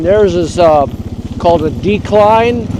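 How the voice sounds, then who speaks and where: Against noticeable background noise, a man with a high pitch talks at a fairly slow pace with ordinary pitch variation. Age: 80s+. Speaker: off-grid gold miner. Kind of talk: interview answer. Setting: outdoors.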